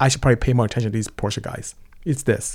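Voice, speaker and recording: Talking at a very fast pace, a man with a Nigerian accent has a dark, mellow tone. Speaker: automotive engineering company founder. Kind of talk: casual interview. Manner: polite.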